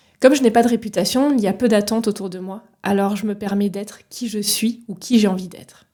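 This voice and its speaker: A woman with a medium pitch and a dark, mellow tone speaks at a fairly quick pace, somewhat breathy, with fairly even intonation and big swings in loudness. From France, Paris region. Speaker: leadership coach, podcast host. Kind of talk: solo podcast monologue. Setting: solo recording with microphone.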